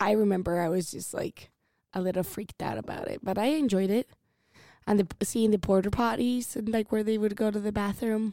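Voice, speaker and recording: With a Spanish accent, a woman speaks in a dark, mellow tone. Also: medium pitch for a woman, fairly even intonation, fairly quick pace, dry, close sound with no echo. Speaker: guest friend. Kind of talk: casual chat.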